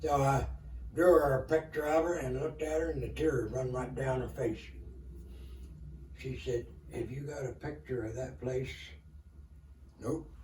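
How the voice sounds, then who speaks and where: With an Appalachian accent, a man speaks at a medium pitch and a moderate pace, with ordinary pitch variation, long, frequent pauses, and audible room echo. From Kentucky. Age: 80s+. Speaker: elderly storyteller. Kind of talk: interview storytelling. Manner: halting.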